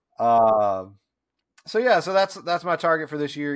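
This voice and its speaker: With an American accent, a man uses a plain, everyday voice at a moderate pace and with lively intonation, recorded very cleanly against a silent background. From US South. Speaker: IT consultant. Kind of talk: casual chat.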